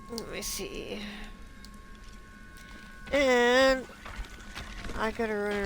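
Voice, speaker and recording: A woman speaks in a flat monotone. Music plays in the background. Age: 60s. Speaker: gamer streamer. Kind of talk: casual gameplay commentary.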